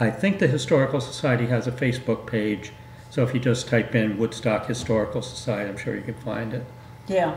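Over light background noise and audible room echo, a man talks at a fairly quick pace with ordinary pitch variation. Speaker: guest. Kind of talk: interview answer. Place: studio.

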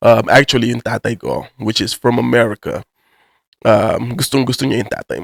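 The sound is dry and close, without any echo. It is a man who speaks. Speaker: YouTuber. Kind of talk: casual vlog commentary in Taglish. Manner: casual, filler-heavy slang.

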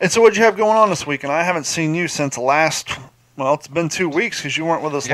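The pace here is very fast. A man delivers it with ordinary pitch variation. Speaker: podcast host. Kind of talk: casual podcast chat. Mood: joking, mildly annoyed. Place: home room. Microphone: studio mic.

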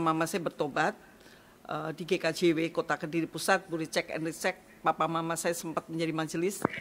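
Against light background noise, a woman speaks at a fairly quick pace and a fairly low pitch. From East Java, Indonesia. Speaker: pastor. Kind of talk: testimony. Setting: studio. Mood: calm, reflective. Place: office. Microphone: studio mic.

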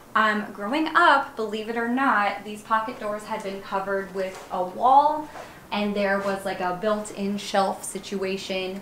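At a fairly slow pace, a woman speaks over light background noise with audible room echo. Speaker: teacher, design blogger. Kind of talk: house tour narration. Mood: upbeat, enthusiastic. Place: home room.

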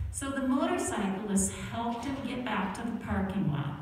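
Strong room echo and light background noise surround a woman's voice. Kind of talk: children's story. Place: church. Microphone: pa.

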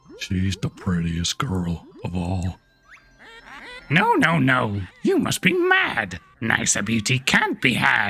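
In a low-pitched, put-on character voice, the speaker goes at a fairly slow pace with long, frequent pauses while faint music plays in the background. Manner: silly, comic.

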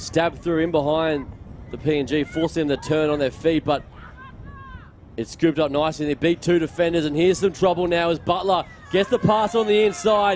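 Over crowd noise in the background, a man with a high pitch talks at a moderate pace with ordinary pitch variation, in a dry sound with no echo. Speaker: sports commentator. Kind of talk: commentary.

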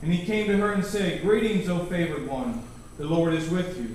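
Amid light background noise and strong room echo, a man with a high pitch speaks at a moderate pace. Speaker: scripture reader in a choir program. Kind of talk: scripture reading and prayer. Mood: solemn, reverent. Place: church.

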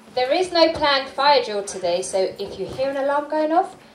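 Audible room echo and light background noise accompany a woman's voice. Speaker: event host. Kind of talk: event announcements. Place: hall. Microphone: handheld.

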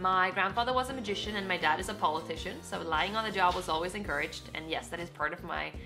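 A woman talks at a very fast pace while clear music plays in the background. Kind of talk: casual vlog chat. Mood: cheerful, playful. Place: home room. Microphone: camera far.

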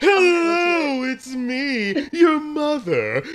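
A put-on character voice with high pitch. Light background noise can be heard. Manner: half-hearted, half-awake.

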